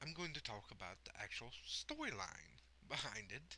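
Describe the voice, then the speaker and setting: A man speaks with very wide pitch swings and some vocal fry. His tone is bright and sharp. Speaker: gaming video creator. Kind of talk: casual solo podcast monologue. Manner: rambling, many fillers and hesitations.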